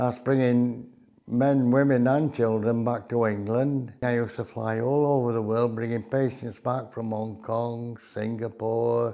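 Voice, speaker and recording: Speaking fairly slowly with a South Yorkshire accent, a man uses a medium pitch and a dark, mellow tone, his intonation monotone and flat. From South Yorkshire, near Barnsley. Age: 80s. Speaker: war veteran. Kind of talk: interview reminiscence.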